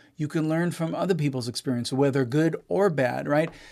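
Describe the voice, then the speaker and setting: Over a silent background in a very clean recording, a man with an American accent speaks at a fairly high pitch. He has a normal speaking voice with ordinary pitch variation. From Israel. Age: 40s. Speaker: musician and producer. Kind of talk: casual interview.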